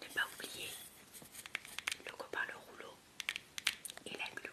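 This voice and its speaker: At a very slow speed, the woman whispers. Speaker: ASMR creator. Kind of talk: casual talk to camera about making slime. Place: home room. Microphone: studio mic.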